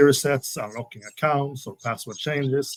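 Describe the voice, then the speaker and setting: A man with a Swedish accent talks at a moderate pace in a medium pitch. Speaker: security specialist. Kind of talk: webinar interview. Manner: polite, slightly formal; halting with many fillers.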